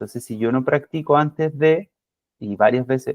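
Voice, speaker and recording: Speaking fairly slowly, a man lets his pitch move with ordinary variation. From Chile. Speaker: physiotherapy academic, lecturer. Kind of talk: lecture. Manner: deliberately calm, slowed pace; many fillers and hesitations.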